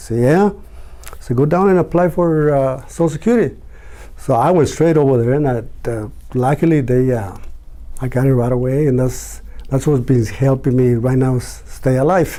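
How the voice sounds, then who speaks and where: A man's normal speaking voice, medium in pitch, at a moderate pace with ordinary pitch variation and very even loudness. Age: 60s. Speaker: printer; army reserve veteran. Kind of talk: interview answer.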